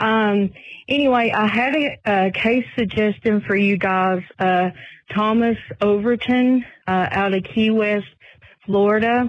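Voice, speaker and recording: Her loudness very even and her intonation fairly even, a woman with a Southern US accent speaks at a fairly slow pace and fairly high pitch. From Tennessee. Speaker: truck driver, listener caller. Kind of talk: voicemail message.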